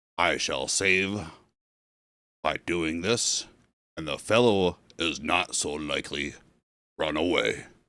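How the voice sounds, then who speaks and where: Putting on a character voice, a man talks very deep and low at a fairly slow pace, with long, frequent pauses. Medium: read story.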